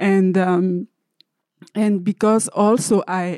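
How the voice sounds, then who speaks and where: The speech comes at a very slow pace with fairly even intonation, in an African accent. The tone is dark and mellow, and the sound is dry and close with no echo. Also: woman. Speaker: filmmaker. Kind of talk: panel discussion. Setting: stage with audience.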